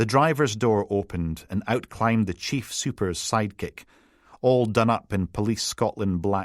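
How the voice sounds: Someone reads aloud in a natural voice, the pitch moving up and down in an ordinary way.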